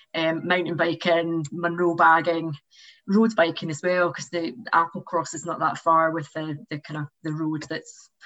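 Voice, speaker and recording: A woman's ordinary speaking voice, fairly low in pitch, at a moderate pace with fairly even intonation. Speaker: member of the month interviewee. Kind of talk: casual interview.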